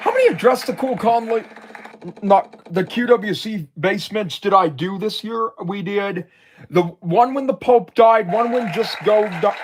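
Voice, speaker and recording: A man with an American accent talks at a high pitch and a fairly slow pace, his pitch varying in an ordinary way, over noticeable background noise. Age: 20s. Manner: halting.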